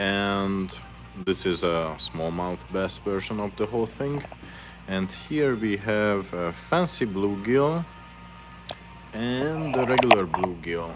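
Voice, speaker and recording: Speech comes at a very slow pace in a Hungarian accent, broken by long, frequent pauses and marked by very wide pitch swings. Noticeable background noise runs underneath. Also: man, fairly low pitch for a man. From Hungary. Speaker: fishing lure maker, live streamer. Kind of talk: casual live stream chat while painting lures.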